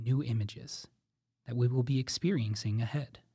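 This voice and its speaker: A man with a dark, mellow, somewhat breathy voice speaks at a medium pitch and moderate pace. His tone is gentle and playful, with ordinary pitch variation. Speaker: drama warm-up guide. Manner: urgent, playful narration nudging the listener along; gentle, evocative and suspenseful, posing imaginative questions.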